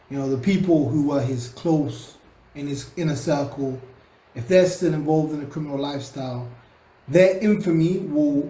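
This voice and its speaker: The speaker has a London accent. Pitch varies in an ordinary way. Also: man. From London, England. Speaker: social commentator. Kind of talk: casual talk to camera. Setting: home recording, cheap USB microphone.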